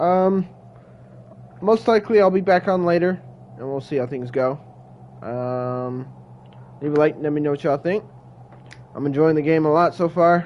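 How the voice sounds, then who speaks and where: A man speaks quietly at a moderate pace, leaving long, frequent pauses. Noticeable background noise runs underneath. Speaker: game streamer. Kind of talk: live gameplay commentary.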